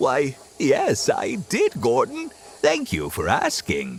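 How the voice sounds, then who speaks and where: The speaker is a man using a put-on character voice. His delivery is very slow. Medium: machinima. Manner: polite, earnest.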